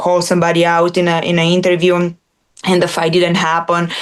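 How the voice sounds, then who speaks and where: A woman with a non-native accent talks at a fairly quick pace in a fairly low voice. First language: not English. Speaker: former MMA fighter turned analyst. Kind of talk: interview.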